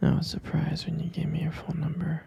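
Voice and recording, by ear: A man's fairly quick, monotone, flat delivery with a dark, mellow tone, a husky, rough edge, vocal fry and fairly high pitch.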